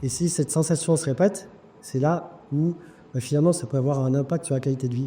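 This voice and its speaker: A man's fairly high, somewhat breathy voice with a dark, mellow tone at a fairly quick pace. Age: 50s. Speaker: surgeon. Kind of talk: testimony. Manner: hesitant with fillers.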